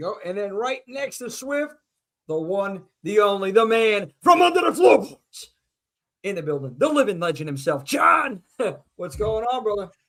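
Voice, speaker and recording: A man talks in a high pitch with very wide pitch swings. His pace is moderate, and his loudness swings widely. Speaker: live show host. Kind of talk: casual chat. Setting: live stream.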